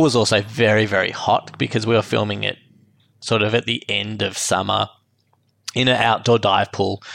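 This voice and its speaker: Fairly low-pitched male voice with vocal fry and an Australian accent, fairly quick and fairly even in intonation, on a very clean recording with a silent background. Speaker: filmmaker and post-production professional. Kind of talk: casual interview chat. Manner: casual, hesitant with fillers.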